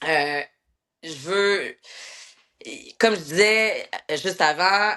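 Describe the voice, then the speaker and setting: Speaking with ordinary pitch variation, a woman has a bright, sharp tone. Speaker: military instructor. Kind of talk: interview. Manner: loud; halting.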